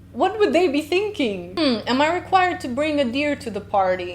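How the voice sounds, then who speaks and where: Speaking at a moderate pace, the voice has a Slovenian accent and very wide pitch swings. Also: woman. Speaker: linguist reaction youtuber. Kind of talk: reaction video commentary. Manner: animated.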